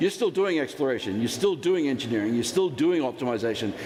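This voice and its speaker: A man's fairly high voice at a fairly quick pace, with noticeable background noise. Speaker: metallurgist teaching a mining finance course. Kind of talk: lecture. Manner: fast.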